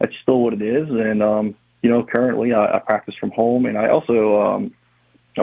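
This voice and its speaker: With a New Orleans accent, a man speaks at a fairly quick pace. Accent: New Orleans area Southern US. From Louisiana, Harahan (New Orleans area). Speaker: blind massage therapist. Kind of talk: interview. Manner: halting, many fillers.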